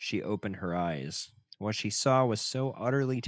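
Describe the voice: The speaker reads aloud. The reading is plain.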